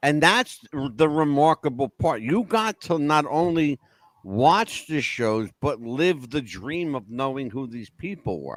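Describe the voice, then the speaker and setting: With lively intonation and an American accent, a man speaks fairly slowly in a fairly high voice, recorded dry and close with no echo. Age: 60s. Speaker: podcast host. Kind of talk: interview. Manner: halting.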